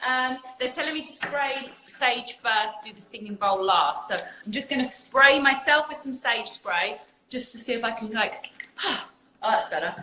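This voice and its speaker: Fairly slow female speech with an English accent and lively intonation, over noticeable background noise. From England. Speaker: spiritual community host. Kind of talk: casual chat.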